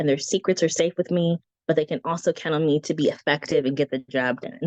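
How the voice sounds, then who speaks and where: Here is a woman with a plain, everyday voice, fairly low in pitch, talking at a fairly quick pace with ordinary pitch variation. The sound is dry and close with no echo. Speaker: branding consultant and guest teacher. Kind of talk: online presentation. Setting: live video stream. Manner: casual, with frequent fillers.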